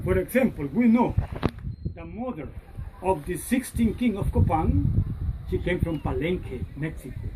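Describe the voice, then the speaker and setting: A woman talks at a moderate pace, and background noise is noticeable. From Honduras. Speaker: tour guide. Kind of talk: guided tour talk.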